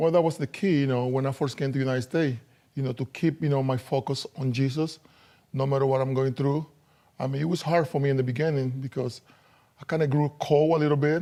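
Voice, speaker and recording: This man speaks very fast with a Dominican accent, a fairly high pitch and a dark, mellow tone. His intonation stays fairly even, and the recording is very clean with a silent background. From Dominican Republic. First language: Spanish. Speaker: former professional basketball player. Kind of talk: interview testimony.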